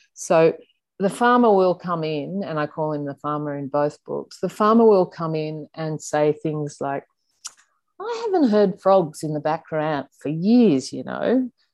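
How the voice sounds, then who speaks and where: With an Australian accent, the speaker uses lively intonation at a fairly slow pace. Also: woman, very deep, low pitch for a woman. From Sydney, Australia. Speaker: journalist and author. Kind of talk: interview.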